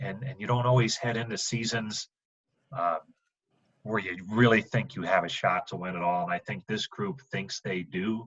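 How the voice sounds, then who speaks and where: A man talks in a normal speaking voice with a fairly low pitch. His pace is moderate and his pitch variation ordinary. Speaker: baseball radio play-by-play broadcaster. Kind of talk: podcast interview answer.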